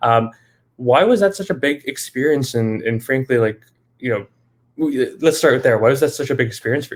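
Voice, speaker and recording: A man, in a normal speaking voice, talks fairly quickly at medium pitch, his pitch varying in an ordinary way. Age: 20s. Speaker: live show host. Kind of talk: interview. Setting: live video stream.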